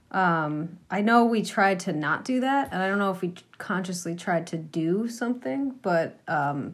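With an American accent and a plain, everyday voice, a woman speaks at medium pitch and a fairly slow pace, her intonation lively, on a very clean recording with a silent background. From Massachusetts, US. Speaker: folk musician, cellist and singer. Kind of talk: casual interview.

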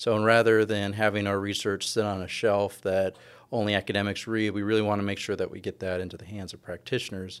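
A man with an American accent talks at a very fast pace in a fairly low pitch. His intonation is monotone and flat, on a very clean recording with a silent background. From California. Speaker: professor. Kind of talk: interview.

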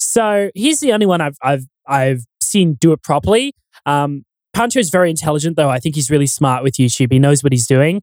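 A man with an Australian accent talks at a fairly quick pace and a fairly high pitch, with lively intonation. The sound is dry and close, with no echo. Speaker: YouTube commentator and audio expert. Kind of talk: casual chat.

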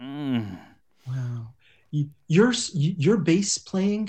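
Lively intonation in a man's somewhat breathy, fairly high voice. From Montreal, Canada. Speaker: music podcaster and guitarist. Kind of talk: improvised comedy. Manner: halting.

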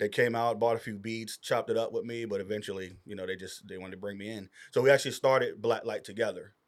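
Very fast and with big swings in loudness, a man talks with fairly even intonation. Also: medium pitch for a man, very clean recording, silent background. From Virginia. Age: 30s. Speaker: music producer and engineer. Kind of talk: casual chat. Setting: recording studio.

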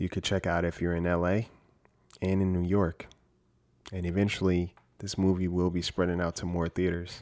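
Monotone, flat intonation runs at a moderate pace with long, frequent pauses in a very clean recording with a silent background. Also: man, very deep, low pitch for a man. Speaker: horror storyteller and podcast host. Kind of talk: true-crime horror narration, spooky late-night storytelling. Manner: hushed, suspenseful, measured; intimate, conversational, first-person.

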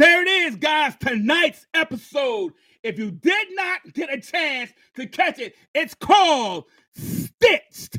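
At a very slow pace, a man speaks in a raised, projected voice with an extremely high pitch and a bright, sharp tone. Very wide pitch swings and big swings in loudness run throughout. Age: 50s. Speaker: podcast host. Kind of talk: casual interview. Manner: animated.

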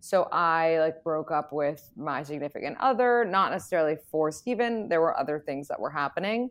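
With an American accent and lively intonation, a woman uses an ordinary speaking voice at a fairly low pitch and a fairly quick pace. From New York City. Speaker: dating expert and podcaster. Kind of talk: casual chat.

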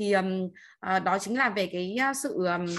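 A woman talks at a medium pitch with ordinary pitch variation. The background is quiet. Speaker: class participant sharing. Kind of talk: personal sharing in online class. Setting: video call.

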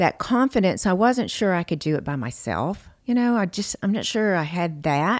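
A woman at a medium pitch with a Southern US accent, very wide pitch swings and a fairly slow pace, on a very clean recording with a silent background. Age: 50s. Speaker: chef and podcast host. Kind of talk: casual interview chat.

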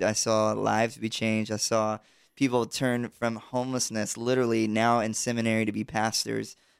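A man with an American accent and a plain, everyday voice speaks at a medium pitch and a moderate pace. The sound is dry and close with no echo, on a very clean recording with a silent background. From US South, South Georgia. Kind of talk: interview conversation. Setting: studio with live internet audience.

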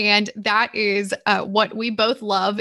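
A woman's fairly high, bright, sharp voice in a Southern US accent, very clean recording with a silent background. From Georgia, US South. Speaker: business owner, podcast co-host. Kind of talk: casual chat.

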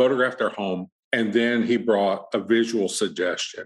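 A man talks in an American accent at a medium pitch. His intonation stays fairly even. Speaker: portrait photographer. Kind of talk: casual interview. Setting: studio sales room.

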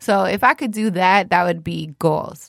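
A woman talks with a Toronto accent. The sound is dry and close, with no echo. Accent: Canadian (Toronto). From Toronto, Canada. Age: 20s. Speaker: radio personality. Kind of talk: casual chat. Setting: studio.

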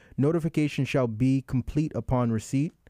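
A man's medium-pitched voice with a dark, mellow tone, at a moderate pace, in a dry, close sound with no echo over a quiet background. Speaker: podcast host. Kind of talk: casual interview. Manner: animated.

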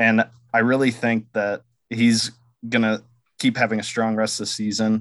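A man's monotone, flat intonation at a moderate pace, broken by long, frequent pauses. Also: medium pitch for a man. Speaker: podcast producer. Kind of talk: casual chat.

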